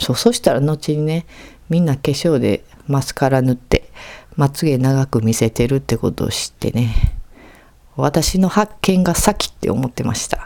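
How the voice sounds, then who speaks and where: Speaking in a Kansai accent, a woman uses a very deep, low pitch and a dark, mellow tone, with lively intonation at a moderate pace. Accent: Kansai Japanese. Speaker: podcast host. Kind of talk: casual monologue.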